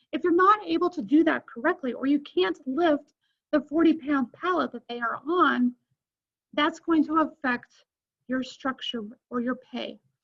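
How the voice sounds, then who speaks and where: A strained, high-pitched woman's voice with lively intonation at a moderate pace. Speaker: college instructor. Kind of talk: recorded lecture. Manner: strained, effortful. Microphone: may be quiet for listeners.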